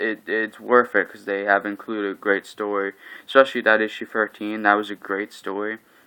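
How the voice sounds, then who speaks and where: The man's voice is fairly low in pitch, with a bright, sharp tone. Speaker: comic book collector vlogger. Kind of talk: casual monologue review. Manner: flat, not very animated; hesitant, many fillers.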